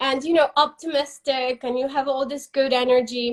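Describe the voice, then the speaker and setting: A woman's high pitch with a non-native accent. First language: not English. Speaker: interviewer for a company. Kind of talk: casual interview on live stream. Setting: Instagram live video.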